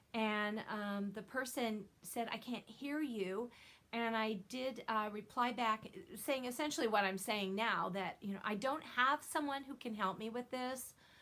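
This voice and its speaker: Loud and bright, with a sharp tone, a woman speaks at a fairly high pitch. Her pace is fairly slow. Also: ordinary pitch variation. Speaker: knitting video podcaster. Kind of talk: casual chat.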